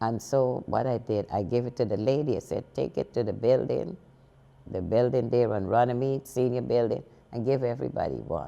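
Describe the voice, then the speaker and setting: This woman's voice is very deep and low in pitch, with vocal fry, a dark, mellow tone, ordinary pitch variation and a moderate pace. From Guyana. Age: 80s+. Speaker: senior center executive director. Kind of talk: interview answer.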